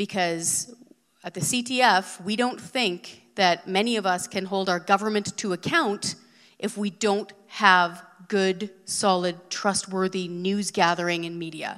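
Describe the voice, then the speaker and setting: In a Canadian accent, a woman talks fairly slowly at medium pitch with fairly even intonation. She has an unremarkable speaking voice, and the recording is very clean with a silent background. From Western Canada, BC. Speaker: former TV producer, media commentator. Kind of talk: live talk on stage. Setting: stage with audience.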